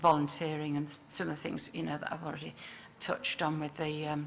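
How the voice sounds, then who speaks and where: With a Yorkshire accent, a woman speaks in a fairly low pitch with a bright, sharp tone. Audible echo fills the room. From northern England, Yorkshire (Leeds). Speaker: public health dietitian. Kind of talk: conference presentation. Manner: hesitant, many fillers.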